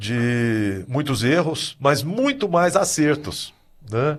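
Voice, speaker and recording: His intonation rises and falls in a lively way as this man talks. Nothing stirs behind him. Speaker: swim school owner. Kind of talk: podcast discussion.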